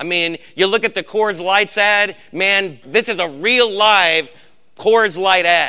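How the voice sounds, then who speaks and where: In a raised, projected voice, a man speaks fairly slowly at a high pitch, with a bright, sharp tone and ordinary pitch variation. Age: old. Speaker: Bible study leader. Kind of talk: sermon. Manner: emphatic.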